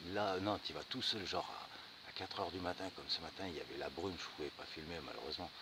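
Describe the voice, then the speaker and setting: Through noticeable background noise comes a man's voice at a fairly low pitch. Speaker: bushcraft vlogger. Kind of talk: outdoor vlog walkthrough. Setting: outdoors. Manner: casual; soft-spoken.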